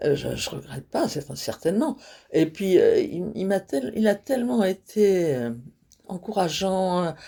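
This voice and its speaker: A woman speaks fairly slowly in a medium pitch with a dark, mellow tone and vocal fry, her pitch swinging very widely and her loudness rising and falling a lot. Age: 80s+. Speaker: stand-up comedian. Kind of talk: interview answer. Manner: frank, humorous.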